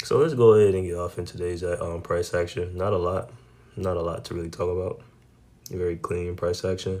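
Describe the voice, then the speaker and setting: With a very deep, low pitch and a dark, mellow tone, a man talks at a fairly quick pace with fairly even intonation. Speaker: day trader sharing trade recaps. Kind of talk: trading recap tutorial. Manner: casual, slangy.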